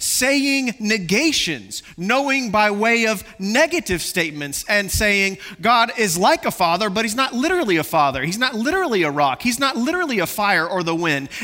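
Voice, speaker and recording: With music in the background, a man with a high pitch for a man uses a raised, projected voice at a moderate pace, with very wide pitch swings and hardly any pauses. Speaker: pastor. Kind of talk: sermon. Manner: passionate, loud at times.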